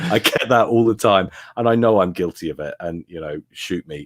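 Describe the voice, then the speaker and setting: Recorded very cleanly with a silent background and a dry, close sound with no echo, a man with a British accent talks fairly quickly with ordinary pitch variation. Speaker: YouTube gaming commentator. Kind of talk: interview.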